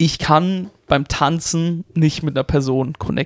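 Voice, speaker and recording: A man speaks at a fairly high pitch with fairly even intonation, in an unremarkable speaking voice. The sound is dry and close, with no echo. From Germany, Karlsruhe (Baden). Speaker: podcast host and aspiring stand-up comedian. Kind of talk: casual chat. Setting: home recording in a flat.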